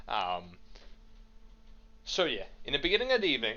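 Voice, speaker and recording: A man speaks with a strong Dutch accent. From Netherlands. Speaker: podcast co-host. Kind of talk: casual chat.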